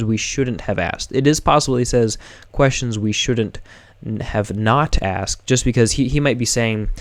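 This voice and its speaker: Words come at a fairly quick pace. The pitch moves in an ordinary way. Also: man. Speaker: music commentator on song meanings. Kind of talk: live stream lyric explanation. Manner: halting, with many fillers and restarts.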